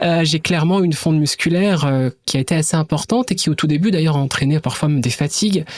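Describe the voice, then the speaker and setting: A woman's very deep, low voice at a very fast pace, with hardly any pauses. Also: ordinary pitch variation. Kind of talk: educational podcast interview. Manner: hesitant, with fillers.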